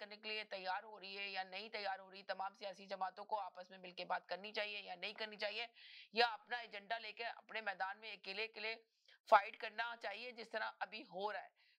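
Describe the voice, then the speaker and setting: Speaking with monotone, flat intonation, a woman keeps her pitch fairly high. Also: big swings in loudness. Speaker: talk show host. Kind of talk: live call-in political talk show.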